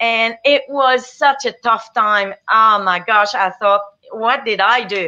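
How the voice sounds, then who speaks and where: In a French Canadian accent, a woman talks at a very slow pace. Her tone is bright and sharp, her intonation fairly even. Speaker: business owner. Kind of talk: interview testimony.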